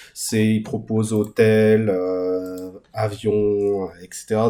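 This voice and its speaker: A man's dark, mellow tone, fairly low in pitch. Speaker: crypto YouTuber. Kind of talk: screen-share tutorial. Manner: hesitant, many fillers.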